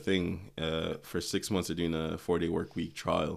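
On a very clean recording with a silent background, a man with an American accent speaks in a very deep, low pitch at a moderate pace with ordinary pitch variation. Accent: near-American sounding English. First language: not English. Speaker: podcast co-host. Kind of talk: casual chat. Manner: animated.

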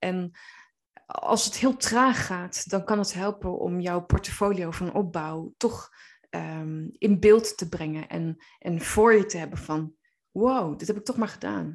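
A woman speaks at a very slow pace with ordinary pitch variation. Her loudness swings widely, and the background is quiet. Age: 30s. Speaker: coach and therapist. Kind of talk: podcast monologue. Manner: hesitant, many filler words.

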